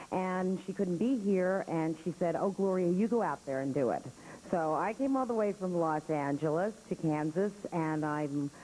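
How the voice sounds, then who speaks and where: A woman with an American accent speaks at a fairly low pitch with a dark, mellow tone. Her loudness stays very even, and her pitch varies in an ordinary way. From New York. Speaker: actress and acting teacher. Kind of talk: talk to an audience. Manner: fast; brash.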